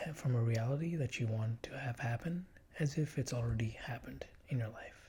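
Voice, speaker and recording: The speaker is soft-spoken, whispering throughout. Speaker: ASMR YouTuber. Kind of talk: ASMR tutorial narration, soft spoken. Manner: whispered, soft-spoken.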